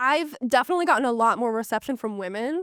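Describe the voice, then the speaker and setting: A loud woman with a high pitch and an American accent, speaking at a very fast pace with lively intonation, dry and close with no echo, in a very clean recording with a silent background. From Pittsburgh area, western Pennsylvania. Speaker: fashion tech founder. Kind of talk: podcast interview.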